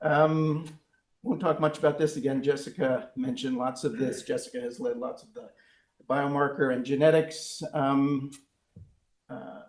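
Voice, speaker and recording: A man talks at a moderate pace, leaving long, frequent pauses. His loudness swings widely, and audible room echo surrounds him. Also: fairly high pitch for a man. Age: 60s. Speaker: research professor. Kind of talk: lecture. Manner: halting, many fillers.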